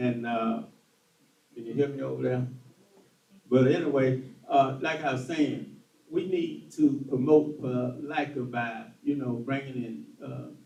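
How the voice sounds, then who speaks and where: In a Southern US accent, the speaker uses fairly even intonation, long, frequent pauses and big swings in loudness, with audible room echo. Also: man, medium pitch for a man. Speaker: political candidate. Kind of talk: political forum answer. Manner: halting.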